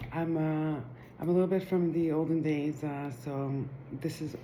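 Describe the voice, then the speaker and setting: With audible room echo, a woman speaks at a very deep, low pitch and fairly even intonation. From Israel. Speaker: Torah teacher. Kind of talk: video introduction. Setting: live recording.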